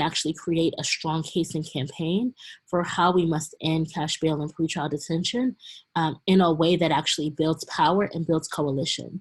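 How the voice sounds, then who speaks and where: A woman with a fairly low pitch and a somewhat breathy voice talks at a moderate pace with fairly even intonation. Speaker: community organizer. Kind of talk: webinar presentation.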